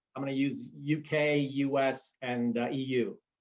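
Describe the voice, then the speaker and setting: Fairly high in pitch, this man's voice carries. His intonation is fairly even. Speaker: chocolate maker giving webinar. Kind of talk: webinar presentation. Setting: online webinar. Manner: fast; hesitant, many fillers.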